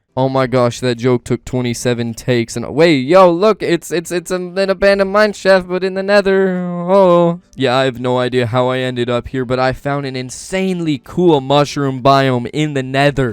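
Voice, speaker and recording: An animated man at a fairly high pitch, moderate in pace, with lively intonation and hardly any pauses. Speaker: gaming YouTuber. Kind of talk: narrated gameplay commentary. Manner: loud; casual, animated.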